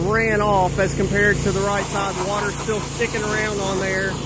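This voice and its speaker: Monotone, flat delivery from a high-pitched man with an American accent, amid noticeable background noise and audible room echo. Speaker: mobile car detailer. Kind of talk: casual video vlog. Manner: slow with pauses, speech affected by car wreck; halting, repeats words.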